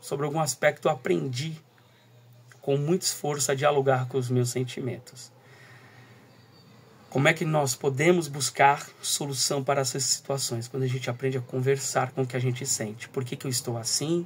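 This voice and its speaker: Soft-spoken and at a medium pitch, a man talks with fairly even intonation and long, frequent pauses. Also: moderate pace. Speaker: teacher and school coordinator. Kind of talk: recorded talk. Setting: at home, early morning.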